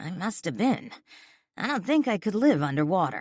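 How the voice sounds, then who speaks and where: In a put-on character voice, a man talks at a moderate pace with a raspy, high pitch, captured in a very clean recording with a silent background. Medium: read story. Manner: old-fashioned slang, casual.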